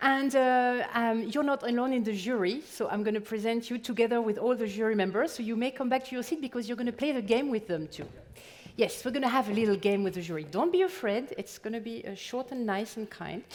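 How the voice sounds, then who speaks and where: A woman with a French accent speaks at a very fast pace, fairly high in pitch, with ordinary pitch variation. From France. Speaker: event moderator. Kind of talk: stage moderation.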